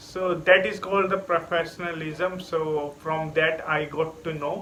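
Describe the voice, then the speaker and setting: A man's high-pitched, monotone, flat delivery at a fairly slow pace, with noticeable background noise. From India. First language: an Indian language. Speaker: English learner vlogger. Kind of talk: casual vlog monologue. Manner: halting, many fillers.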